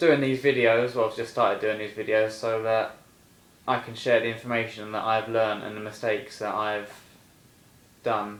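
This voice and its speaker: Audible room echo surrounds a man speaking in a monotone, flat intonation with long, frequent pauses. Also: medium pitch for a man, moderate pace. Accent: English. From England. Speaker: personal trainer. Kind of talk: casual vlog monologue. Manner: casual, hesitant with fillers.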